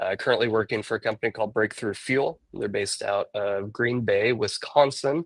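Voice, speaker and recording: This is an ordinary speaking voice, from a man with a medium pitch and ordinary pitch variation. The sound is dry and close with no echo, and the background is quiet. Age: 30s. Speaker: software engineer and former touring musician. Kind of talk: casual interview chat.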